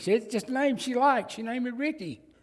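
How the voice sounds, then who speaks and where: Speaking at a very fast pace, a man talks with a Southern US accent. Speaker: pastor. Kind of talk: sermon. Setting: church.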